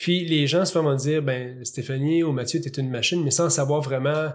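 A man with a fairly high pitch and a somewhat breathy voice speaks at a fairly quick pace with fairly even intonation. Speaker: podcast host. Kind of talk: interview. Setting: studio.

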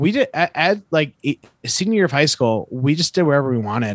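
A man with an American accent and a normal speaking voice talks at a moderate pace in a fairly high pitch, recorded very cleanly with a dry, close sound, no echo and a silent background. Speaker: podcast co-host. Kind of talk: casual chat.

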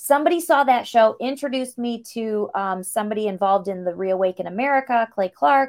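Speaking with a normal speaking voice, a woman talks at a fairly high pitch with lively intonation and hardly any pauses. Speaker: singer and actress. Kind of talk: casual interview chat. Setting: video call.

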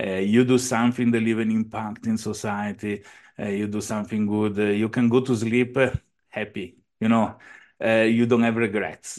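Against a quiet background, a man talks at a moderate pace. His medium-pitched voice has a monotone, flat intonation. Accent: Italian. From Italy, near Venice. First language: Italian. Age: 40s. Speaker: entrepreneur. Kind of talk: interview. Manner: halting.

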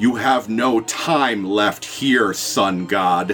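Using a put-on character voice, a man speaks very slowly with a raspy sound at medium pitch. Clear music plays in the background. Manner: cold, ominous.

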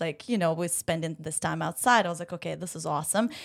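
A woman speaks with a Ukrainian accent at a fairly low pitch. The recording is very clean, with a silent background. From Ukraine. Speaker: Pilates studio owner. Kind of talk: casual chat. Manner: halting, many fillers.

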